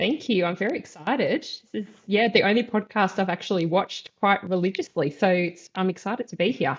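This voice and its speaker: A woman with an Australian accent, medium-pitched and somewhat breathy, ordinary pitch variation, a fairly quick pace and hardly any pauses. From Australia, western suburbs of Melbourne. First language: Polish. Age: 30s. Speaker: osteopath and clinic owner. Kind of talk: podcast interview.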